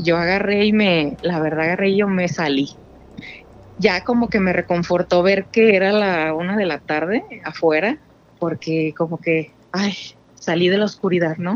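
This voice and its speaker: With an unremarkable speaking voice, a woman talks at a fairly slow pace with a fairly low pitch and ordinary pitch variation. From Guadalajara, Mexico. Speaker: caller. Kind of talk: storytelling. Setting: phone call.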